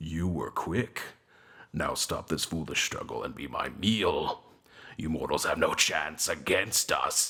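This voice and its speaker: A man's growling, put-on character voice at a fairly slow pace. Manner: menacing, booming.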